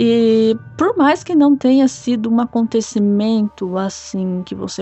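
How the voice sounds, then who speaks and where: Music plays in the background as a woman speaks at a fairly slow pace with lively intonation. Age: 20s. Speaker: listener sharing a paranormal experience. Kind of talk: personal testimony. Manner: casual, somewhat halting with repetitions.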